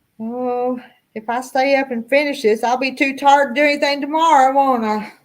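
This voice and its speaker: A woman with a Southern accent talks at a fairly quick pace, her high voice monotone and flat. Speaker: YouTube cooking channel host. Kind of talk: casual chat. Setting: live stream.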